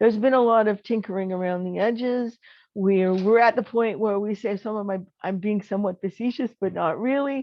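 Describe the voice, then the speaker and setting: A woman speaks in an unremarkable speaking voice, medium in pitch with ordinary pitch variation. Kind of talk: keynote address.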